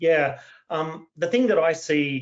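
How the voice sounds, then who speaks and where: A man speaks with an Australian accent. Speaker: cybersecurity expert, panelist. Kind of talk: webinar panel discussion.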